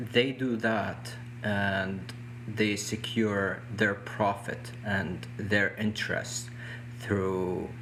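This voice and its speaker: In a room with audible echo and noticeable background noise, a man with a fairly low pitch and a non-native accent speaks very slowly with fairly even intonation. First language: not English. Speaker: activist. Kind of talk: interview discussion. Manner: halting, with restarts.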